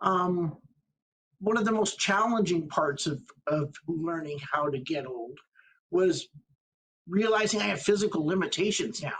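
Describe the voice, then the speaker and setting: Speaking at a high pitch and a fairly slow pace, a man uses lively intonation and takes long, frequent pauses. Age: 60s. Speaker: community organization staff member. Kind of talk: personal testimony. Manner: halting, many fillers.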